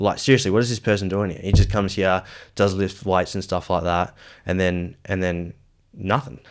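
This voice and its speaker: A moderately paced voice with an Australian accent and fairly even intonation, in a very clean recording with a silent background. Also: man. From Western Australia, Perth. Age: 30s. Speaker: former aspiring footballer. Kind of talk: casual chat.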